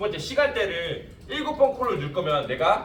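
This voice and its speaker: Very wide swings of pitch from a male speaker, with audible echo off the room and noticeable noise behind. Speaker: insurance sales trainer. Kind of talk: lecture. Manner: fast.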